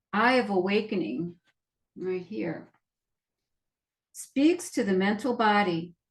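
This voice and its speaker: The speaker has a somewhat breathy voice, lively intonation and a fairly slow pace. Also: woman. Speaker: nurse practitioner and energy healer. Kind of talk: reading aloud from healing cards. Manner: repeats phrases, occasional stammer.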